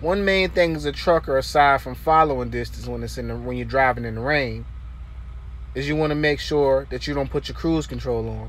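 The sound is dry, with no echo. A man speaks at a moderate pace. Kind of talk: casual vlog tutorial. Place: car. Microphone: phone near.

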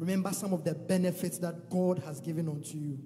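The pace is moderate, with clear music behind the speech. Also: man. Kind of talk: sermon exhortation. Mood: reverent, encouraging. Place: church. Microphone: handheld.

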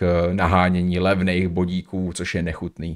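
Against a quiet background, a man talks with a very deep, low pitch. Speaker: streamer reacting to a video. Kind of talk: commentary. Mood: critical, indignant. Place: home room. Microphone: studio mic.

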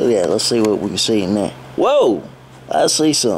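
A man at a fairly slow pace over light background noise. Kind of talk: casual toy review chat. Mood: playful, silly. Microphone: phone near.

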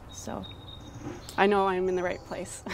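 Recorded dry with no echo, a woman speaks amid noticeable background noise. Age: young. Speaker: tai chi practitioner. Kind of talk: interview answer. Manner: casual, hesitant. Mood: calm, grateful, warm. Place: garden. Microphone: lapel.

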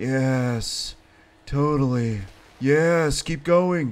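A man's put-on character voice, drawling and fairly high in pitch, with ordinary pitch variation, on a very clean recording with a silent background. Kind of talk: comic overacting. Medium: machinima. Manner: mellow, drawling, stoner slang with constant 'man'.

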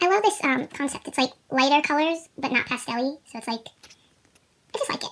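A woman at a high pitch, fairly quick, with lively intonation and an upbeat tone. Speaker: fan unboxing merchandise. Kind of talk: casual unboxing talk to camera. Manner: upbeat, chatty. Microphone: phone near.

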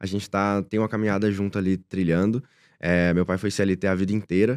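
A man speaks at a fairly quick pace in a fairly low voice, his intonation fairly even over a quiet background. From Brazil, interior of Minas Gerais (Rio Pardo). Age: 20s. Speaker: direct response entrepreneur. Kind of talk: interview. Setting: studio. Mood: warm, proud. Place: studio. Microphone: studio mic.

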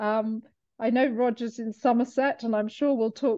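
A woman speaks in a high pitch at a moderate pace. The background is quiet. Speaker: webinar host. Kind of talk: event hosting, reading chat welcomes. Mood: warm, cheerful, welcoming. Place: home room. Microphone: video call.

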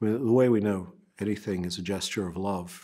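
A man against a quiet background. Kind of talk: interview answer. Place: church. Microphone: lapel.

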